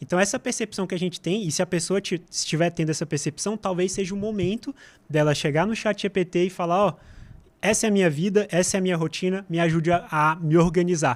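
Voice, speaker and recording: This man's pitch sits high and varies in an ordinary way. He talks at a very fast pace. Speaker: artificial intelligence specialist. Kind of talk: podcast interview.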